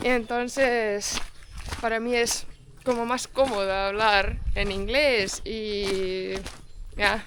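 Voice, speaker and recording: In a room with audible echo, a woman with a fairly high pitch speaks at a very slow pace, leaving long, frequent pauses, her intonation fairly even. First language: not Spanish; English-speaking (speaking Spanish). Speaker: travel vlogger. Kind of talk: casual chat. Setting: outdoors. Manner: halting.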